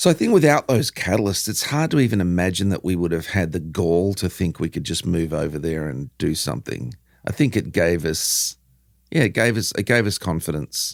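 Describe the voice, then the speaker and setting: Very deep and low in pitch, a man with an Australian accent talks at a fairly quick pace with lively intonation on a very clean recording with a silent background. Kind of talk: interview. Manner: casual, animated.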